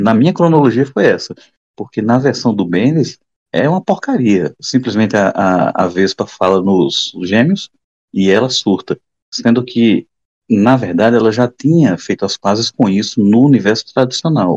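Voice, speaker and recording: Lively intonation from a man with an ordinary speaking voice, medium in pitch, at a moderate pace with very even loudness, in a dry, close sound with no echo. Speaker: comic book podcast co-host. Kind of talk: casual chat.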